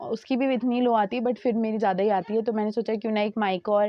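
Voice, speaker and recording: With monotone, flat intonation, a woman speaks at a moderate pace and fairly high pitch. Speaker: vlogger. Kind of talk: casual vlog narration. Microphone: new mic just arrived.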